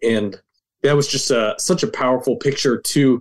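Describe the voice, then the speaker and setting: At a moderate pace, a plain, everyday voice speaks with ordinary pitch variation. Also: man. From rural Nova Scotia, Canada. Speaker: ministry leader, guest. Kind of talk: interview, conversational.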